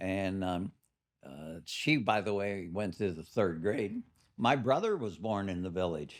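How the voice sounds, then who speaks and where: The speaker has a Midwestern American accent, a moderate pace and ordinary pitch variation. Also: man. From US Midwest, Canton Ohio. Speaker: retired business executive. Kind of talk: interview. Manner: halting.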